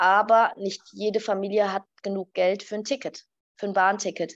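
A woman talks at a moderate pace and medium pitch. Her intonation is fairly even, and the background is quiet. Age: 30s. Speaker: pediatrician. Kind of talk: interview. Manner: hesitant, many fillers.

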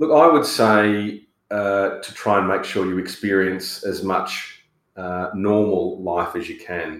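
A man with an Australian accent speaks at a very slow pace in a fairly low voice, his loudness swinging widely while his pitch varies in an ordinary way. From Australia, rural New South Wales. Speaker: radio presenter and political candidate. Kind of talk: interview.

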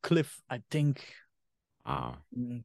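A man with a German accent, recorded with a dry, close sound and no echo. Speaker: podcast host. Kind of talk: casual chat.

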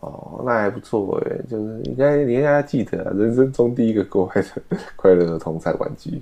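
A man with a plain, everyday voice at a medium pitch, a moderate pace and lively intonation, with hardly any pauses. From Taiwan, Taipei. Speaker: podcast co-host. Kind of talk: casual chat.

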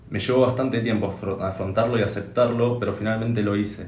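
A man's very fast, monotone, flat delivery at a fairly low pitch, amid noticeable background noise and audible room echo. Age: 20s. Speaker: podcast co-host. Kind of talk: casual chat.

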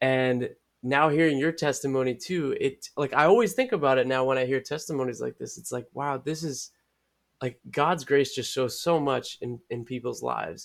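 Speaking at a moderate pace, a man with an unremarkable speaking voice uses a fairly high pitch with ordinary pitch variation. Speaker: podcast co-host. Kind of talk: casual chat.

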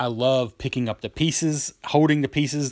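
A man with a normal speaking voice, moderate pace and ordinary pitch variation, in a very clean recording with a silent background. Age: 30s. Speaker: board game podcast host. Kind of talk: solo podcast monologue. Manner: casual, with frequent fillers and repetitions.

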